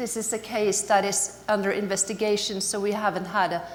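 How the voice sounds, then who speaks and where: Speaking at a moderate pace with a Norwegian accent, a woman is recorded amid noticeable background noise and audible room echo. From Norway. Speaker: anti-corruption NGO representative. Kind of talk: conference talk. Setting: conference stage with audience. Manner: halting, many fillers.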